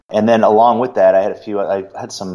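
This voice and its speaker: With an American accent, a man speaks at a moderate pace in a dark, mellow tone, his intonation fairly even. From Boston born, raised Cincinnati. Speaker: Star Wars fan guest. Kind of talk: interview, recalling memories.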